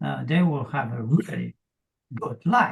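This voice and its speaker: A man speaks at a fairly slow pace. Vocal fry runs through his voice. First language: Polish. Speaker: fitness coach. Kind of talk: interview.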